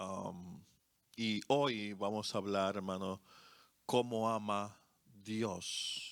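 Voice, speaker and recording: In a Dominican accent, a man speaks at a very slow pace with a fairly low pitch and long, frequent pauses. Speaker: co-pastor. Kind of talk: sermon. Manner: halting, many fillers.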